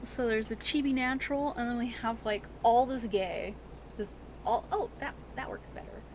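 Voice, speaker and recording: A woman's animated tone at a moderate pace, against noticeable background noise. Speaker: artist streaming custom toy painting. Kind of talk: casual live stream chat while crafting. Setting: live stream at workbench. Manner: loud at times; animated, chatty with many fillers. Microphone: microphone moved near face after being too quiet.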